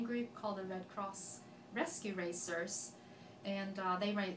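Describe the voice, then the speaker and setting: A woman at medium pitch with a Swedish accent, fairly even intonation and a moderate pace, amid noticeable background noise and audible room echo. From Sweden, Gothenburg area (west coast). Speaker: accent sample speaker. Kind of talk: personal story monologue.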